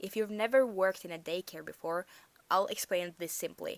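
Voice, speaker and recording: A woman with a Norwegian accent speaks with ordinary pitch variation. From Norway. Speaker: storyteller vlogger. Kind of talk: storytime monologue. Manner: casual, halting with self-corrections.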